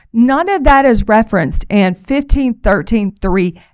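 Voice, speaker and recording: Fairly slow speech with very wide pitch swings, on a very clean recording with a silent background. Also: woman. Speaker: prosecutor. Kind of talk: courtroom oral argument.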